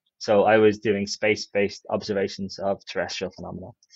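A man talks at a fairly quick pace in a fairly low, a normal speaking voice, with a dry sound, no echo and a quiet background. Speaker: podcast guest. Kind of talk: interview answer. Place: office. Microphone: earbuds.

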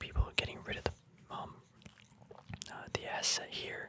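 Soft-spoken whispering at a moderate pace over loud background noise. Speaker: reader studying a trading book. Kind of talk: casual tutorial commentary. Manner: soft ASMR whisper, slow explaining.

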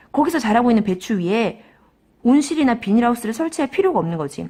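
A woman with a fairly high pitch, talking at a very fast pace against a quiet background. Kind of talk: lecture.

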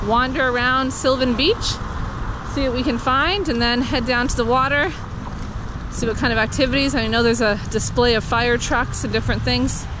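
The delivery keeps a moderate pace. The sound is dry with no echo, over noticeable background noise. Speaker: family vlogger. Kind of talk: casual vlog chat. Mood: cheerful, light laughing. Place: street. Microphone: phone near.

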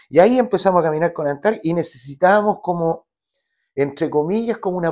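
A man with a Chilean accent and a high pitch, fairly quick with lively intonation, against a quiet background. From Chile, Santiago. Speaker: singer-songwriter; guest. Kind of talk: interview. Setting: studio. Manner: halting. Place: studio. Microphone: lapel.

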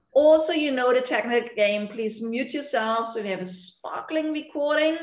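A woman with a high pitch speaks at a moderate pace and ordinary pitch variation amid audible room echo. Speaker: session host. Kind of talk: webinar host introduction. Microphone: video call.

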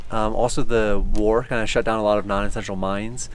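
A man talks with fairly even intonation, the sound dry with no echo and light noise behind him. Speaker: town caretaker host. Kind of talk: informal tour explanation. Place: open country.

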